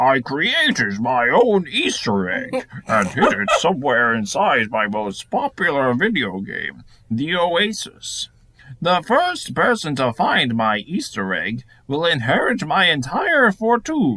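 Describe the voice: Putting on a character voice, a man speaks at a fairly high pitch. His pace is fairly slow.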